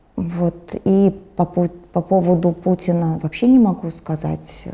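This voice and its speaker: A woman's fairly low voice unfolds at a very slow pace. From former USSR. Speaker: war refugee, pensioner. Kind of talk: interview answer. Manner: calm, stoic.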